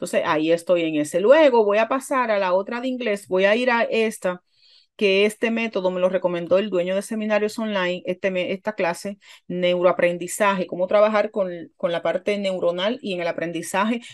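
A woman speaks at a moderate pace with ordinary pitch variation and an animated tone. The background is quiet. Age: 40s. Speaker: online marketing youtuber. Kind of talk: tutorial. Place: home room. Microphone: webcam.

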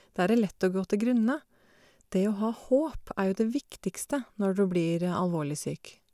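A woman with a dark, mellow tone and medium pitch speaks at a moderate pace with lively intonation. The recording is very clean with a silent background, dry and close with no echo. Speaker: deaf cancer patient. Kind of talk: casual conversation.

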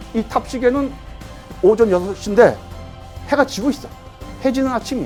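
With music in the background, a man talks at a fairly quick pace. His pitch is high and his intonation lively. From Sokcho, South Korea. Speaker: radio drama writer. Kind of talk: interview answer.

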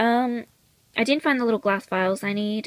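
A woman speaks at a moderate pace in a croaky, fairly high voice. Her pitch varies in an ordinary way.

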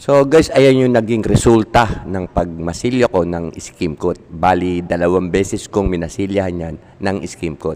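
Speaking at a fairly slow pace with hardly any pauses, a man uses a very deep, low voice with ordinary pitch variation. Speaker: YouTube painting tutorial creator. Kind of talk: tutorial. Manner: hesitant, many fillers; casual, informal.

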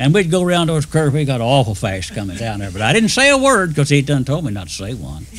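A man at a very fast pace with hardly any pauses, a fairly high pitch and very wide pitch swings. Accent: Southern US. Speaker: retired railroad engineer. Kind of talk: oral history storytelling.

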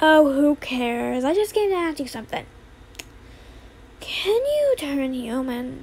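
A put-on character voice, high in pitch, fairly slow with long, frequent pauses, over clear background noise. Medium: solo performance. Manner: impatient, brash.

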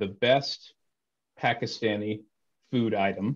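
Speaking very slowly with a fairly even intonation, a man with an American accent is heard over a quiet background. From Texas. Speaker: interviewer, former Anglican priest. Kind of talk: interview. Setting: video call. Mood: thoughtful, friendly. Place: home room. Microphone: video call.

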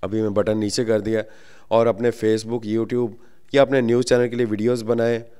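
In a very clean recording with a silent background, a man speaks at medium pitch with a dark, mellow tone and a monotone, flat intonation. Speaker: microphone seller. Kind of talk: product demo.

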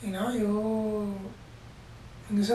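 A man talks at a high pitch in monotone, flat intonation. Light background noise and audible room echo surround him. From Puerto Rico. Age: 30s. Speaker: Olympic wrestler. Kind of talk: interview. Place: home room.

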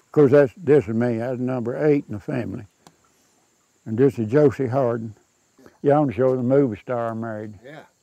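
A man with a Southern Appalachian accent talks at a fairly quick pace and medium pitch, his fairly even intonation marked by big swings in loudness and long, frequent pauses, in a dry sound with no echo and a quiet background. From Southern Appalachia, North Carolina/Georgia mountains. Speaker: local elder sharing family history. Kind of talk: casual interview, reminiscing over old photos. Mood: warm, nostalgic. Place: garden. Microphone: lapel.

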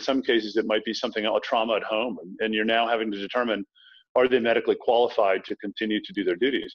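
A man with an American accent and medium pitch at a very fast pace, against a quiet background. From US South, Tidewater Virginia (Norfolk); Virginia. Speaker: thriller author, former military officer. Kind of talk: interview. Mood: earnest, reflective. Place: home room. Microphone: video call.

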